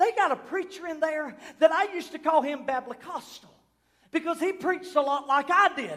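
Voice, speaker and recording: With an American accent, a man speaks at an extremely high pitch, his intonation lively. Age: 30s. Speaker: pastor. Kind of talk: Pentecostal sermon building to a fiery, prophetic climax. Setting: church service with congregation. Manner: impassioned, rising preacher cadence with repeated refrains; loud, emphatic, call-and-response exhortation.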